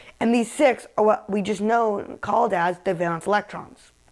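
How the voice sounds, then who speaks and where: The tone is upbeat. The pace is moderate. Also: woman. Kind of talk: mock infomercial for a class chemistry project. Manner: upbeat sales pitch.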